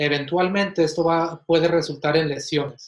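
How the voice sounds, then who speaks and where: Fairly even in intonation, a man talks at a fairly slow pace in an ordinary speaking voice. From Mexico, Ciudad Juárez, Chihuahua, then Kansas City from age ten. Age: 20s. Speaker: physiotherapist. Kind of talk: interview. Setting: at home, remote.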